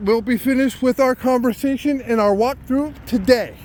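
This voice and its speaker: Loud and extremely high in pitch, a man speaks with ordinary pitch variation. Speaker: citizen journalist. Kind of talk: walking vlog monologue. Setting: outdoors.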